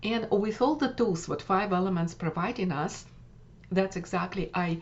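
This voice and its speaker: At a fairly slow pace, a woman talks in a Russian accent. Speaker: wellness coach. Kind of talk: workshop summary talk. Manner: halting with many fillers.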